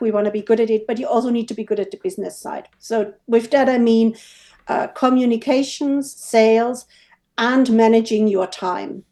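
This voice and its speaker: A woman with a German accent, a fairly high pitch and a dark, mellow tone, at a moderate pace with ordinary pitch variation, over a quiet background. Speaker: WooCommerce developer. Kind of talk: interview.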